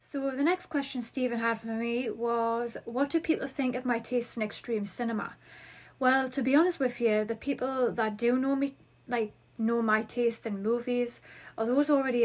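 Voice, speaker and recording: A woman with a Geordie accent speaks at a high pitch, moderate pace and fairly even intonation. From Newcastle, northeast England. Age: 30s. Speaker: podcast host. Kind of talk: podcast intro, scripted-feeling chat.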